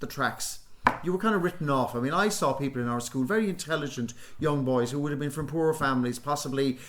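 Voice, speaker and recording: A man with a Cork accent, fairly high in pitch, at a very fast pace. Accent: Irish (Cork). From Ireland, Youghal, County Cork. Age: 60s. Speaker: actor and playwright. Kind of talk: radio interview. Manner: halting, many repetitions.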